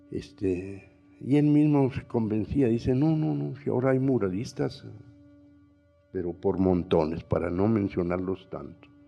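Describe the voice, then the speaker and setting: Over music in the background, a man with a fairly low voice speaks at a fairly slow pace with very wide pitch swings. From northern Mexico, Coahuila. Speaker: painter and muralist. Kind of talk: panel talk. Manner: halting, with many fillers.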